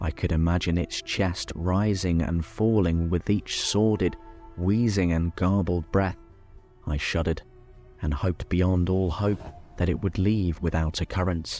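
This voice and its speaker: Speaking at a fairly slow pace, a man with a very deep, low pitch shows ordinary pitch variation over music in the background. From Britain. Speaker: horror story narrator. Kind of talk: horror story reading, bedtime / ASMR style.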